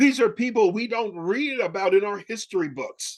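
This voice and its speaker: Speaking at a fairly slow pace, a man talks with an American accent. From northern US, Albany, New York. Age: 60s. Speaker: pastor. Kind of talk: sermon. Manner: conversational, with repetitions.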